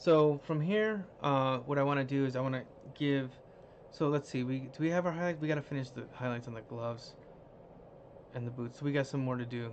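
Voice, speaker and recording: In an ordinary speaking voice, a man talks fairly fast with ordinary pitch variation. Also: medium pitch for a man. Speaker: digital artist livestreaming design work. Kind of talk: live-stream tutorial. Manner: casual, thinking aloud.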